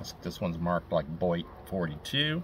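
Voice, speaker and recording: A man's moderately paced speech amid noticeable background noise. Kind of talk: show-and-tell commentary. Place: garden. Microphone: camera far.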